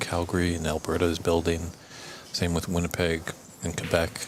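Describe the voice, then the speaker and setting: With noticeable noise behind him, a man talks in a very deep, low pitch. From Canada, Ontario. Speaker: snooker commentator. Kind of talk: casual chat. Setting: commentary booth.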